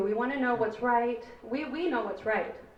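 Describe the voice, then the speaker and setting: Audible room echo surrounds a woman's fairly high voice. She talks at a moderate pace with fairly even intonation. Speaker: parent speaking at public comment. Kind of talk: public comment at board meeting. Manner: loud.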